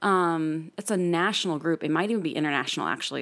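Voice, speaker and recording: An ordinary speaking voice from a woman with a General American accent, fairly low in pitch, with fairly even intonation, on a very clean recording against a silent background. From US, military family, moved around. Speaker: podcast guest, old friend of host. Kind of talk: casual chat.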